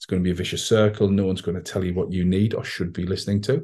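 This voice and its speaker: Against a quiet background, a man speaks in a somewhat breathy voice. His tone is dark and mellow. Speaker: podcast host, entrepreneur and author. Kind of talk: solo monologue podcast. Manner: casual, with frequent filler ums.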